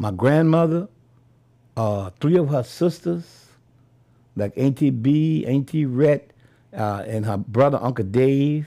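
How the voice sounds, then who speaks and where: A man's medium-pitched, dark and mellow voice in a New Orleans accent, with lively intonation, a very slow pace and long, frequent pauses, on a very clean recording with a silent background. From New Orleans, Louisiana. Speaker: Vietnam veteran. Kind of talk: oral history interview. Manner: halting, with frequent repetitions.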